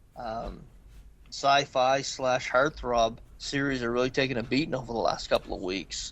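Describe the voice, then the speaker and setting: A quiet background behind a man speaking at a moderate pace. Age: 50s. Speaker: podcast host. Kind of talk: casual chat. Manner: halting.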